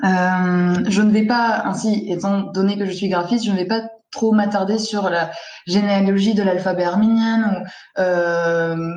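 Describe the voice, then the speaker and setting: A woman speaks at a fairly slow pace with an Armenian accent and fairly even intonation. The room echo is audible, and there is noticeable background noise. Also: medium pitch for a woman. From Lebanon, Armenian diaspora. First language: Armenian (speaking French). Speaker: graphic designer. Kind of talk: presentation in a panel discussion. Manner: hesitant, many fillers.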